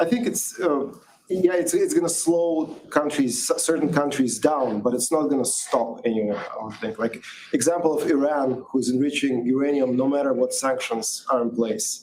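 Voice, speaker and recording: Fairly high male voice against clearly audible background noise. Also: ordinary pitch variation, moderate pace. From Russia. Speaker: security panelist. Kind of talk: panel discussion. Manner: halting.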